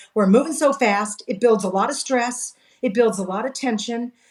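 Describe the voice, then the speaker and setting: The speaker talks at a moderate pace in a Californian accent. Pitch varies in an ordinary way. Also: woman. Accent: General American (Californian). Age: 60s. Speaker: direct sales coach. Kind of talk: interview.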